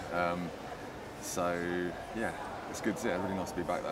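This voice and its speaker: A man is speaking. Loud background noise fills the recording. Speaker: theatre writer and director. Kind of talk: casual interview chat. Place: cafe. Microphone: lapel.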